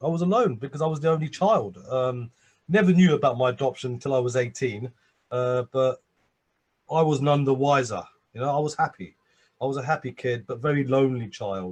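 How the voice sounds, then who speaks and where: A man speaks in a London accent at medium pitch. His voice is somewhat breathy, with ordinary pitch variation. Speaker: addiction and abuse survivor, speaker. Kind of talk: interview. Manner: halting, many repetitions and fillers.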